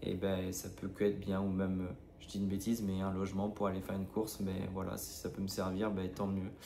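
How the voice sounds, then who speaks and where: A man's very deep, low voice, dark and mellow in tone, monotone and flat, at a fairly quick pace with audible room echo. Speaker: running vlogger. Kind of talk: vlog. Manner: hesitant, many filler sounds.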